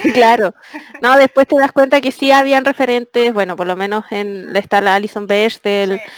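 A woman with a Chilean accent speaks at a moderate pace and fairly high pitch with ordinary pitch variation, in a dry, close sound with no echo and noticeable background noise. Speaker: comic artist. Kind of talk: interview.

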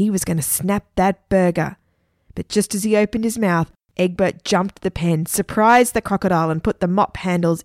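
The background stays quiet while the text is read aloud plainly.

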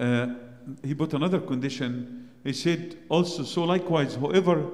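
A dark, mellow voice with an Arabic accent, at a fairly slow pace with lively intonation and audible room echo. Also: man. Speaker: priest. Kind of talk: sermon.

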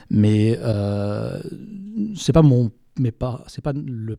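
The man's voice is somewhat breathy, at a medium pitch. His tone is dark and mellow. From France. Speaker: writer. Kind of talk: interview. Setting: bookshop event. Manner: halting.

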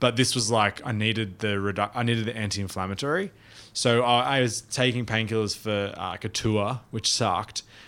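On a very clean recording with a silent background, a man speaks with an Australian accent. His medium pitch holds fairly even intonation at a fairly quick pace. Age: 30s. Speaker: touring drummer and podcast co-host. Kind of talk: casual chat. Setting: studio.

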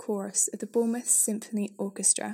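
Somewhat breathy and dark, mellow in tone, a woman with a fairly high pitch speaks at a fairly quick pace. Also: very clean recording, silent background. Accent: British. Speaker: podcast audio tour guide. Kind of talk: scripted walking-tour narration mixing local history facts with light jokes. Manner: measured, read-from-script delivery of dates and names; dry, self-deprecating humour with an occasional laugh.

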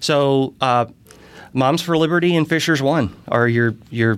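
Lively in intonation, a man with an American accent is heard in a very clean recording with a silent background. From US South, Charleston, South Carolina. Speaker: city council candidate. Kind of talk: interview. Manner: filler-heavy, hesitant.

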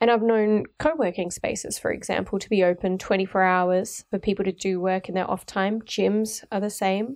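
Over a quiet background, a woman with an Australian accent speaks at a moderate pace and medium pitch, her intonation fairly even. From Melbourne, Australia. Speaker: guest podcast host, urban researcher. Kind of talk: interview.

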